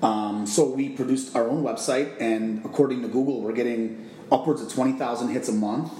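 A man speaks at a medium pitch with an American accent. Noticeable background noise and audible room echo surround him. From Chicago, Illinois. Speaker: vacation rental owner. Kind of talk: interview.

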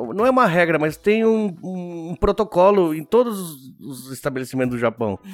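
A man with a high voice speaks at a moderate pace, barely pausing, his pitch swinging very widely and his loudness rising and falling sharply. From Argentina. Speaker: podcast host and restaurant owner. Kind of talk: casual interview chat. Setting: studio with cameras.

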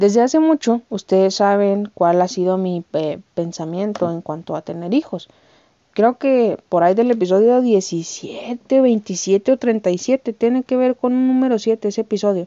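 A woman with a Mexican accent speaks at a medium pitch and fairly slow pace, with ordinary pitch variation. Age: 20s. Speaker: podcast host. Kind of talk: casual monologue. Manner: animated.

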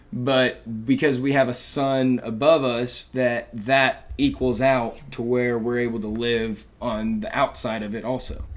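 Amid noticeable background noise, a man with an American accent talks at a fairly slow pace and a medium pitch with fairly even intonation. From Texas, Dallas. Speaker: college student. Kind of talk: casual chat.

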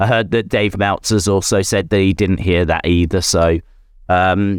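A man with an ordinary speaking voice at a fairly low pitch and moderate pace, dry and close with no echo, on a very clean recording with a silent background. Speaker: livestream host. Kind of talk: casual live chat. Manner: chatty, joking.

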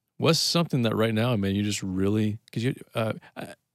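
A man talks at a fairly quick pace with a fairly low pitch. The sound is dry and close, with no echo. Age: 30s. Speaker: church podcast host. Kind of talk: casual chat. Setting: church.

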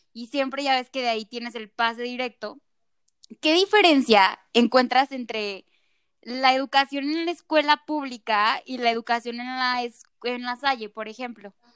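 With a Mexican accent and an animated tone, a woman speaks at a fairly slow pace and a high pitch, her pitch varying in an ordinary way and her loudness swinging widely, in a dry, close sound with no echo. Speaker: podcast host. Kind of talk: casual chat.

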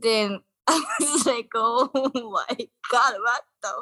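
Dry and close with no echo, the voice carries a Japanese accent. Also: woman. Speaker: guest. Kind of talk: casual chat. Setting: video call.

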